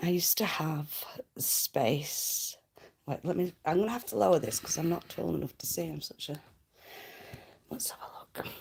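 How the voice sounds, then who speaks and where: A woman whispers at a moderate pace, leaving long, frequent pauses. Her loudness swings widely. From Lancashire, northern England. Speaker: livestreamer. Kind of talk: casual chat reading comments. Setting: at home, livestream. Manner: halting, many fillers.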